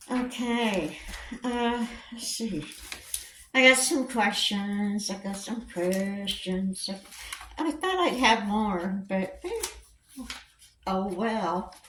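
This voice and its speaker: A woman with an American accent and a fairly high pitch, very slow pace with long, frequent pauses, ordinary pitch variation, big swings in loudness, noticeable background noise and audible room echo. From Indiana. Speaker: vlogger. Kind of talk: casual Q&A vlog. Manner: halting, with many fillers.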